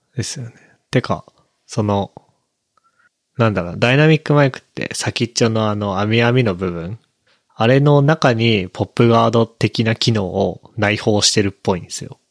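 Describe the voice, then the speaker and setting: A man at medium pitch talks at a moderate pace, with big swings in loudness. The sound is dry and close with no echo. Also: ordinary pitch variation. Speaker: podcaster. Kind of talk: casual chat. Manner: mumbling.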